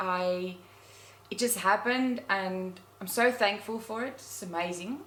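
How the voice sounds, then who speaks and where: In a South African accent, the speaker goes at a fairly slow pace with big swings in loudness and ordinary pitch variation. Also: woman. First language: Afrikaans. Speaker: nature blogger. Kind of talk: interview. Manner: halting.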